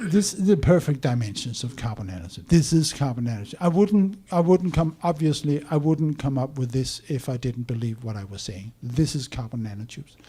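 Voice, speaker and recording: Talking at a fairly quick pace with hardly any pauses, a man with a fairly high voice swings widely in loudness amid noticeable background noise. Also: lively intonation. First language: not English. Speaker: conference speaker on science. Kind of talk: presentation talk.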